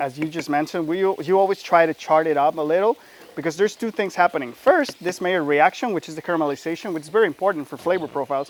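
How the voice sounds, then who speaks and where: A man with a Mexican accent, high pitch, an animated tone and ordinary pitch variation at a very fast pace, with a dry, close sound with no echo and noticeable background noise. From Mexico. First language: Spanish. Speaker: chef. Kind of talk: cooking demonstration. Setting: outdoors.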